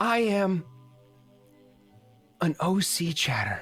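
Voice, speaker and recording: Faint music sits in the background as a female-sounding voice, medium in pitch for a woman, performs a put-on character voice. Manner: put-on, exaggerated.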